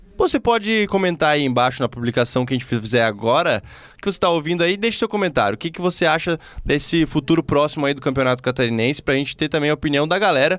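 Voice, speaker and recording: The recording is very clean, with a silent background. A man talks very fast in a fairly high voice with lively intonation. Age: 20s. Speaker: sports journalist, podcast host. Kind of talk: casual football podcast chat.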